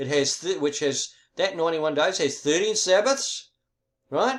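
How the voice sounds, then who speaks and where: A man is speaking. His intonation is lively. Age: 70s. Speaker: religious video presenter. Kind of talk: explanatory monologue. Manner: halting, stumbling.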